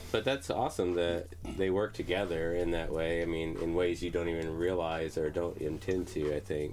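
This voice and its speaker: Music plays in the background as a man speaks at a moderate pace with a very deep, low pitch and fairly even intonation. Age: 30s. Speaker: podcast host and bass player. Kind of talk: casual chat.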